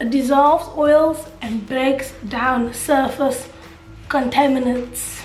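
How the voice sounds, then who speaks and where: Over music in the background, a woman speaks at a very slow pace in a high pitch with fairly even intonation. Room echo is audible. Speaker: lifestyle vlogger. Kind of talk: casual vlog talk.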